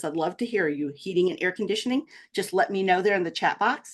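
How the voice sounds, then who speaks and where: Very fast pace and lively intonation against a quiet background. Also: woman. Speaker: small business marketing presenter. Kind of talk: webinar presentation. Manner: interactive, upbeat.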